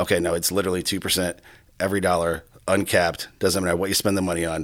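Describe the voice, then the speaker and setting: Very fast, monotone, flat speech on a very clean recording with a silent background. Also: man. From US Midwest, Iowa (Johnston, Des Moines area). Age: 40s. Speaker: bar owner and commercial credit card specialist. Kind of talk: casual interview.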